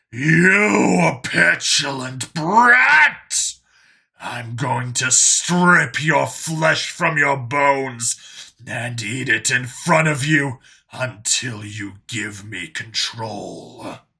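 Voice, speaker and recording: In a growling put-on character voice at medium pitch, a man speaks at a very slow pace. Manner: growling, menacing.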